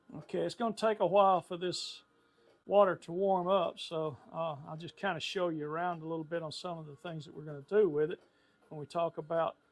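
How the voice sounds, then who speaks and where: Speaking at a fairly quick pace, a man with a high voice keeps his intonation fairly even. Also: big swings in loudness. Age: 70s. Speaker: woodworker. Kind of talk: tutorial. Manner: casual, halting with fillers.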